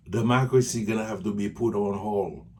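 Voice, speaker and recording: Somewhat breathy and animated in tone, the voice moves at a fairly slow pace. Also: man. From Haiti. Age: 60s. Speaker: political commentator. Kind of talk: video monologue.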